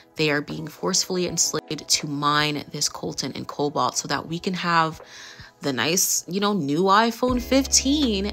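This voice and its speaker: Against noticeable background noise, a woman with a very deep, low pitch speaks at a moderate pace with lively intonation. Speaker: beauty vlogger. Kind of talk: voice-over commentary.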